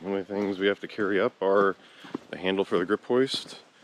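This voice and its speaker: The voice carries an American accent. The sound is dry and close with no echo, though noticeable background noise is present. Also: man. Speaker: vlogger and conservation crew member. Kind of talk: vlog narration. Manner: casual.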